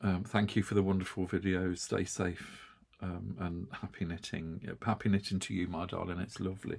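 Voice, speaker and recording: With an English accent, a man speaks at a fairly low pitch and keeps his intonation fairly even. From UK. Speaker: yarn craft video host. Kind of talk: casual chat. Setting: home studio. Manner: halting.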